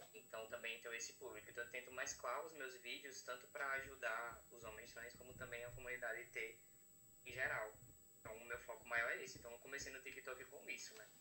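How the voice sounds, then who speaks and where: A man's bright, sharp tone comes through at a fairly quick pace in a monotone, flat intonation. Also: medium pitch for a man. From Northeast Brazil, interior of Pernambuco. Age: 20s. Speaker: content creator. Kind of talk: interview.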